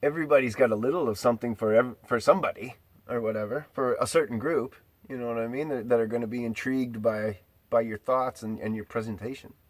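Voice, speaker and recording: A man speaks very fast at a medium pitch, his intonation fairly even. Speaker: video blogger. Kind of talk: solo monologue. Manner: rambling, halting.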